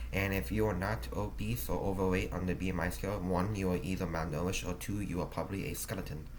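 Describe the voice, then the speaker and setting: Amid audible room echo, a man with a very deep, low pitch and vocal fry talks at a very fast pace with lively intonation and hardly any pauses. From United States. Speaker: vlogger. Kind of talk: personal vlog monologue. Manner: halting, many fillers.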